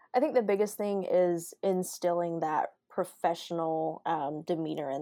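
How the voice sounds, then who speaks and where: Against a quiet background, a woman with a Southern US accent and a fairly low pitch speaks in a dark, mellow tone with fairly even intonation. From Alabama, outside Montgomery. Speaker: sports information director and sideline reporter. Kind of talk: interview.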